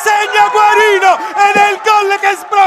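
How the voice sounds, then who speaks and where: Over crowd noise in the background, a man talks at a fairly slow pace. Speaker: football commentator. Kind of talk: live football match commentary, reading play-by-play over highlights. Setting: voiceover on match highlights video.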